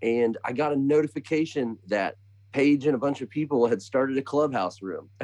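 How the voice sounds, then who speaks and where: Ordinary pitch variation at a moderate pace. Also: man, medium pitch for a man. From US Midwest (Bloomington, Indiana). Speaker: country singer-songwriter. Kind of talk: casual chat. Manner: halting.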